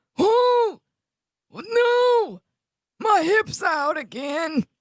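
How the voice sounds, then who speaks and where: The voice is a put-on character act. It sits at an extremely high pitch. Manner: complaining.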